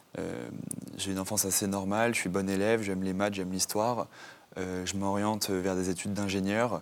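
A man's voice sits fairly low in pitch. His intonation stays fairly even. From Normandy, France. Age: 20s. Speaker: author. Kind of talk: interview testimony. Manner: halting, many fillers.

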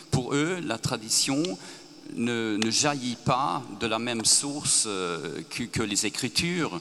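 His delivery is very slow. The man's intonation stays lively. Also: medium pitch for a man. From Sweden. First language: Swedish (speaking French). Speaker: author. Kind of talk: panel discussion.

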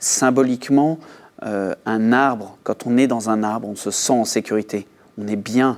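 A man's intonation stays fairly even as he speaks at a fairly slow pace. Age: 40s. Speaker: author. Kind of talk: interview. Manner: halting, many repetitions.

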